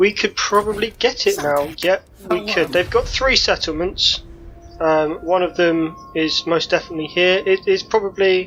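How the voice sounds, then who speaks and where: With music in the background, a woman talks at a moderate pace in a medium pitch, with ordinary pitch variation and very even loudness. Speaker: gaming YouTuber. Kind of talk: let's play commentary. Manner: casual, thinking aloud with fillers.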